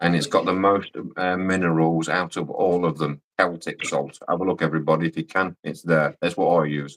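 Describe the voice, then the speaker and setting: With a Scottish accent and a very deep, low pitch, a man talks at a fairly quick pace with hardly any pauses and fairly even intonation. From Scotland. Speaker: livestream guest. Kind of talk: casual chat.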